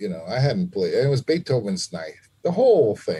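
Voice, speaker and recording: The voice carries a dark, mellow tone and is somewhat breathy, with an American accent. The background is quiet. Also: man. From New York City (Lower East Side, Manhattan); New York City. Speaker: trumpet player; podcast guest. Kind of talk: interview conversation. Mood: reflective, earnest. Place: home room. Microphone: video call.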